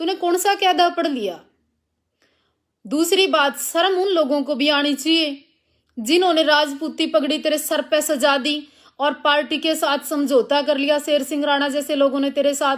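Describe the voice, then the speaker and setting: The recording is very clean with a silent background, and the woman's pitch is high. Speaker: religious preacher and activist. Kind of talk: live stream rant. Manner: confrontational.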